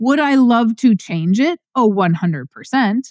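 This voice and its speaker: Loud and high-pitched, a woman speaks at a moderate pace with very wide pitch swings, recorded dry and close with no echo on a very clean track with a silent background. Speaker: podcast host and farm finance educator. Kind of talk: passionate monologue. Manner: pitch rises when passionate.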